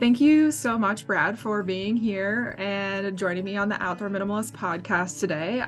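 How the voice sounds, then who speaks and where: Over background music, a woman with an American accent speaks at a moderate pace and medium pitch with fairly even intonation. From US Midwest, Minnesota. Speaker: podcast host, outdoor writer. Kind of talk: podcast interview.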